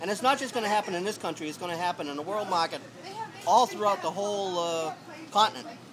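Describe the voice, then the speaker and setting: A man with a high voice and ordinary pitch variation speaks at a very fast pace over crowd noise in the background. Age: 60s. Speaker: homeless man. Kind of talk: street interview. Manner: halting, many fillers and repeats.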